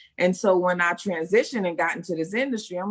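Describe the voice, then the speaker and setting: A New York accent comes through. Delivery is at a moderate speed. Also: woman. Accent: New York (Bronx). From US Northeast, Bronx, New York. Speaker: actress and first-time author. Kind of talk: interview. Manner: animated.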